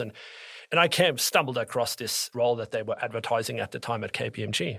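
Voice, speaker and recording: Bright and sharp in tone, a man with a strong German accent speaks at a moderate pace with ordinary pitch variation. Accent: thick German. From Norway and Germany. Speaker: tax advisor. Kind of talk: interview.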